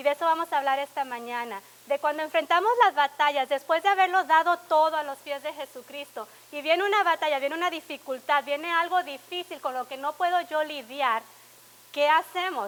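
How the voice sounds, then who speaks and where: A woman's high-pitched voice, fairly quick, with ordinary pitch variation. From Laredo, Texas. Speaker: pastor. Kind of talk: sermon.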